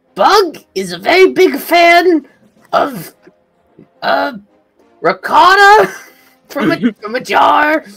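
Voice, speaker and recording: Faint music plays in the background as a put-on character voice with a high pitch speaks very slowly, with long, frequent pauses. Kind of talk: comic overacting. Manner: excitable, comic, loud.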